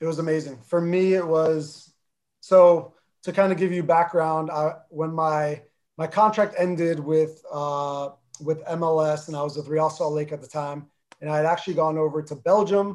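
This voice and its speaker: A man with a New Jersey accent, fairly high in pitch, at a moderate pace and in a monotone, flat intonation. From North New Jersey, US (Armenian family). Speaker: former pro soccer player, club executive. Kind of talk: interview.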